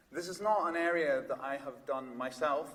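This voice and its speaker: A man's voice with ordinary pitch variation, plus noticeable background noise. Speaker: psychiatrist and researcher. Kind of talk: conference talk. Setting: stage with audience. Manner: loud; hesitant, many fillers.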